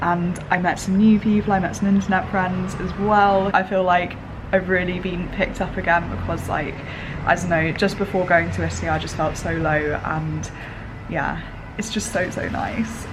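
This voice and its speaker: With a British accent, a woman speaks over noticeable background noise. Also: moderate pace. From England. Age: 20s. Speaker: language student. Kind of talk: travel vlog, casual talk to camera.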